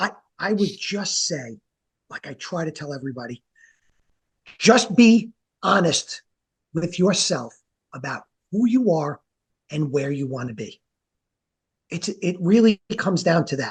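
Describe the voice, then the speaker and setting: A man with a New York accent speaks at a fairly slow pace in a high voice with very wide pitch swings and long, frequent pauses, the sound dry and close with no echo. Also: big swings in loudness. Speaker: franchise business consultant. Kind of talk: interview.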